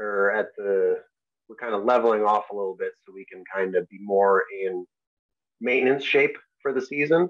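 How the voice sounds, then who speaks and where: A man with an American accent talks at a moderate pace, his fairly low pitch showing ordinary variation while his loudness swings widely. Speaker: Paralympic alpine skier. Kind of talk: interview answer. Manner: soft-spoken.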